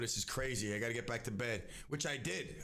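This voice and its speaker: There is audible room echo as a man speaks with a bright, sharp tone and ordinary pitch variation. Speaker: radio show host. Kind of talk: live radio talk show. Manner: animated, rambling with many restarts.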